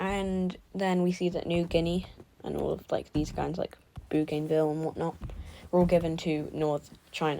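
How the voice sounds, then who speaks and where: A woman's fairly low, dark and mellow voice with a British accent, fairly even intonation and a moderate pace. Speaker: mapping video creator. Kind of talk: video game recap narration. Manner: halting.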